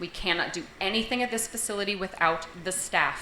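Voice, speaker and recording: A woman speaks at a moderate pace with fairly even intonation, amid noticeable background noise and audible room echo. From western Massachusetts. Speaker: registered nurse and sheriff candidate. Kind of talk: debate opening statement. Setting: grange hall with live audience.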